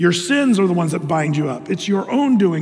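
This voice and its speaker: Music plays in the background as a man with a high pitch and lively intonation speaks, an audible room echo around him. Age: old. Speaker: pastor. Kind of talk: sermon. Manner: animated.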